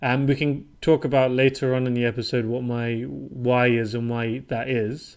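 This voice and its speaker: A man with a British accent speaks with hardly any pauses against a quiet background. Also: medium pitch for a man, fairly even intonation, moderate pace. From southern England, Portsmouth. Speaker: property investor. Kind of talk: podcast interview.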